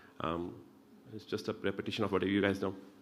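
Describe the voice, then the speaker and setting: The speaker is a man with an Indian accent. The recording is very clean, with a silent background. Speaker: pulmonologist. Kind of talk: medical lecture. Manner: fast.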